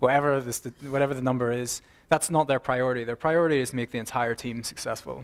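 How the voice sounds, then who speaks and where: A man with an Irish accent at medium pitch, very fast and fairly even in intonation, in a very clean recording with a silent background. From Ireland. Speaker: software consultant and mentor. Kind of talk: conference talk.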